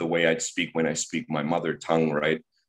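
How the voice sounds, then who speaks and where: A man with a German accent speaks at a very deep, low pitch. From Germany. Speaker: high school teacher. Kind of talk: interview. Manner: halting.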